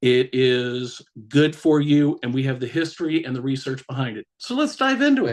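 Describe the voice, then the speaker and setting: At a moderate pace, a man with a fairly high pitch talks with fairly even intonation. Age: 50s. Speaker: cannabis brand ambassador. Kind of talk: educational presentation on a live stream.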